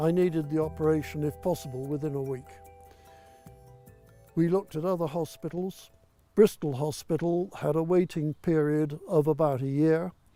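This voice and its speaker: A man's fairly high voice at a moderate pace, with ordinary pitch variation, long and frequent pauses, and music in the background. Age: 80s+. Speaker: retired army veteran. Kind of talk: interview answer.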